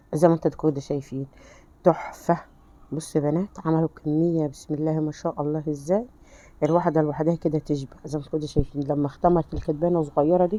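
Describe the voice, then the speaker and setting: This woman has a very deep, low pitch. Her tone is dark and mellow. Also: fairly quick pace. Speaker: home cooking channel host. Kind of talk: cooking tutorial. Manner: animated.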